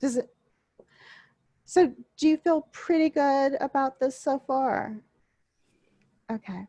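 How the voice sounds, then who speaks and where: A woman with an American accent speaks at a very slow pace with long, frequent pauses, at a high pitch with ordinary pitch variation. Her tone is dark and mellow, and the sound is dry and close with no echo. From US South, coastal southwest Louisiana (Vermilion Parish). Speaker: university instructor. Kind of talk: online class lecture. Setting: video call.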